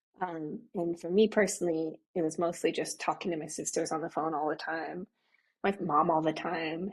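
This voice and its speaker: A woman speaks in an American accent at a fairly low pitch. She has an ordinary speaking voice. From US Midwest, Nebraska. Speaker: money and manifestation coach. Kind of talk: podcast interview.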